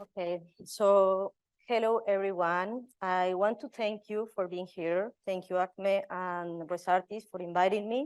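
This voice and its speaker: Recorded dry and close with no echo, the speech comes at a fairly slow pace with a Spanish accent and fairly even intonation. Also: woman, medium pitch for a woman. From Colombia. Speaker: residency program director. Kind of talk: panel talk. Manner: halting, with fillers.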